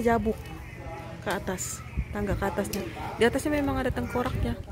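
Noticeable noise is present in the background. The voice is a woman's. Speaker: family vlogger. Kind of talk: casual vlog chat. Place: open country. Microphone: phone near.

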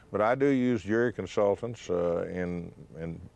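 With an American accent, a man speaks in a dry sound with no echo. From Texas Panhandle; Texas. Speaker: trial lawyer. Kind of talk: interview. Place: studio.

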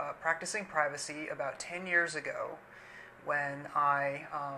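A man with a high pitch, fairly even intonation and a fairly slow pace, over light background noise. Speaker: guest. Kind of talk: casual conversation, personal story. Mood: calm, reflective. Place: home room.

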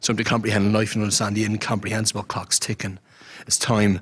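A man with a Dublin accent talks at a very fast pace in a fairly low, monotone, flat voice, and the sound is dry with no echo. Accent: Dublin Irish. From Ireland, Dublin. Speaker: spoken word poet. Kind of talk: poetry performance.

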